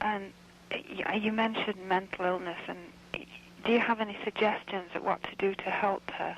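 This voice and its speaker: There is noticeable background noise as a woman speaks at medium pitch in a Manchester accent. Her delivery is monotone and flat, at a moderate pace. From northern England, Manchester. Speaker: caller. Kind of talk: radio call-in question.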